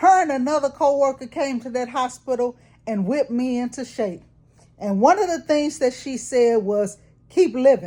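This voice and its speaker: A woman's dark, mellow voice, high-pitched, with lively intonation and a moderate pace. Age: 60s. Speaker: vlogger. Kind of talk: casual monologue vlog. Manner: animated.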